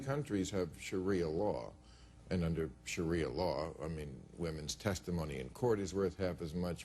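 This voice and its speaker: A man's very deep, low voice with vocal fry, at a moderate pace and with ordinary pitch variation. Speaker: talk show host. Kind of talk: talk show interview questions. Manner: joking.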